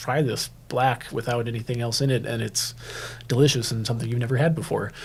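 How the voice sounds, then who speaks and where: A man with a dark, mellow, somewhat breathy tone speaks at a medium pitch and a fairly quick pace on a very clean recording with a silent background. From Minneapolis, US Midwest. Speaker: coffee roaster and shop owner. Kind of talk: interview. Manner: halting, many fillers.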